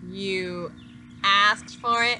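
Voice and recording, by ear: Using a put-on character voice, a woman speaks very slowly at medium pitch, her tone bright and sharp and her intonation fairly even.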